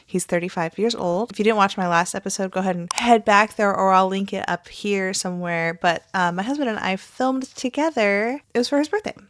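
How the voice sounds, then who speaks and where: On a very clean recording with a silent background, a woman with an ordinary speaking voice, medium pitch and ordinary pitch variation talks at a fairly quick pace with hardly any pauses. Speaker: reaction commentary youtuber. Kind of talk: casual vlog commentary. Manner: casual, chatty.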